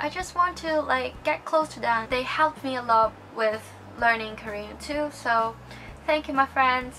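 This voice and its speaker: A woman with a Chinese accent, high-pitched, raised and projected, at a fairly slow pace amid noticeable background noise. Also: ordinary pitch variation. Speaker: YouTuber giving language learning tips. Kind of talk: casual vlog tutorial. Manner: casual, with many fillers (um, like).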